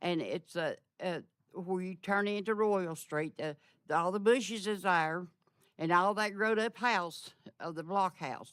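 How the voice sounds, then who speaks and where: In an East Tennessee accent, a woman speaks at a medium pitch and a fairly slow pace. The recording is very clean, with a silent background. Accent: Southern US (East Tennessee). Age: 80s+. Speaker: resident speaking at public comment. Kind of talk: public comment complaint. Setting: council meeting chamber. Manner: halting.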